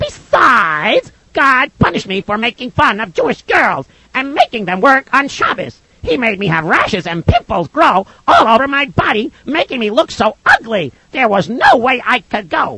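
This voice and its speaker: Pitched fairly high, this put-on character voice runs at a moderate pace with hardly any pauses. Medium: read story.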